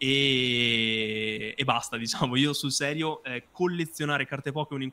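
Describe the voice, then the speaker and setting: Bright and sharp in tone, a man's fairly high voice moves at a fairly slow pace with ordinary pitch variation. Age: 30s. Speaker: YouTuber and card collector; YouTuber. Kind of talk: interview. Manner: halting with many fillers. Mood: warm, nostalgic. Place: home room.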